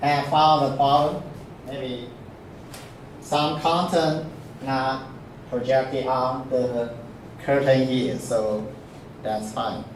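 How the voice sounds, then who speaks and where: Amid noticeable background noise and audible room echo, a man with a non-native accent speaks at a very slow pace with long, frequent pauses and fairly even intonation. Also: medium pitch for a man. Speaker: university professor. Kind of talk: lecture. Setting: classroom. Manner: halting, frequent fillers.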